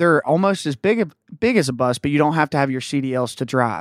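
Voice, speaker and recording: In an Appalachian accent, the speaker moves at a fairly quick pace with very wide pitch swings, in a very clean recording with a silent background and a dry, close sound with no echo. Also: man. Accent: Appalachian US Southern. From West Virginia. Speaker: country band member. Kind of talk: casual interview chat.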